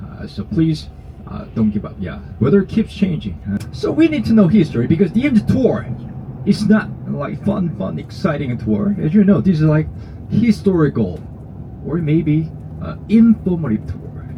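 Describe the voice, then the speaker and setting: A man with a Korean accent over noticeable background noise. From South Korea. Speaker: tour guide. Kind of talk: guided tour talk. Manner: halting.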